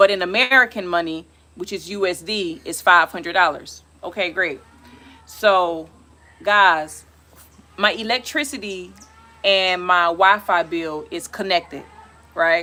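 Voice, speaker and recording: The voice is loud, with ordinary pitch variation and long, frequent pauses. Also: woman, medium pitch for a woman. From US South, South Carolina. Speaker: travel vlogger. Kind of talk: casual live stream chat. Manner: halting, many fillers.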